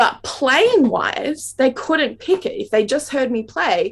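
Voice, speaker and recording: With a strong Australian accent, a woman with a high pitch talks at a fairly slow pace with very wide pitch swings. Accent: Australian, very obvious. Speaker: classical saxophonist and educator. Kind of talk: interview Q&A.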